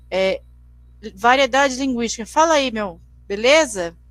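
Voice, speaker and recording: High female speech, its pitch moving in an ordinary way. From Brazil, Mato Grosso do Sul. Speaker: teacher. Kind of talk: lecture. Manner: halting, frequent repetitions.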